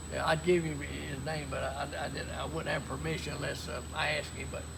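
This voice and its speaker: Through noticeable background noise and audible room echo, a man with a very deep, low pitch speaks at a fairly quick pace in a monotone, flat intonation. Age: 80s+. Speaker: retired insurance man and private pilot. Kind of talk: casual interview chat. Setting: outdoors at an airfield beside a plane.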